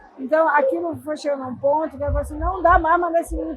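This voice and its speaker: High in pitch, a woman speaks with fairly even intonation. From Brazil, southern Bahia (Ibirataia). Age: 60s. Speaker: ceramic sculptor. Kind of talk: interview. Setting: podcast booth at a chocolate festival.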